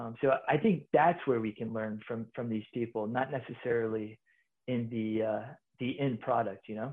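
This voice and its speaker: A man's medium-pitched voice with an American accent, fairly even intonation and a moderate pace. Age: 30s. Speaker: army officer. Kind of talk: casual interview. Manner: halting, many fillers.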